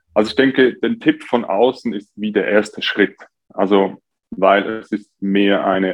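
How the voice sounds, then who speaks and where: This is an ordinary speaking voice, a man's, fairly low in pitch. He keeps a moderate pace with ordinary pitch variation. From Switzerland, near Zurich. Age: 20s. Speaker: coach for taking action. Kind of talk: podcast interview.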